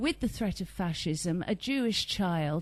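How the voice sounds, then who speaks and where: Using a normal speaking voice, a woman moves at a moderate pace and her intonation is lively. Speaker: interviewer. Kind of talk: interview question.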